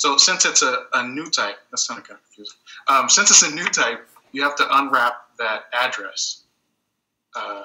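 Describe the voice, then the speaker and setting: A man's speech with long, frequent pauses and big swings in loudness. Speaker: programmer giving a technical talk. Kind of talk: technical presentation in a video hangout. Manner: fast; casual with many fillers.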